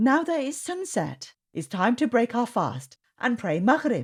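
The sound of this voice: A woman puts on a character voice with a slightly husky edge, a fairly high pitch and big pitch swings. She speaks at a fairly slow pace on a very clean recording with a silent background.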